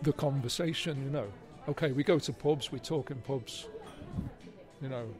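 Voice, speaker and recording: Over music in the background, someone with a Liverpool accent speaks at a moderate pace with ordinary pitch variation. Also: man. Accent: Liverpool (Scouse). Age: 60s. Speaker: writer. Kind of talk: interview. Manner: halting.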